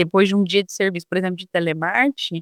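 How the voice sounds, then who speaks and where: Dry and close with no echo, a woman speaks at a medium pitch. Her intonation stays fairly even. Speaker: former telemarketing saleswoman, customer service trainer. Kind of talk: casual interview chat. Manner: halting, with restarts and fillers.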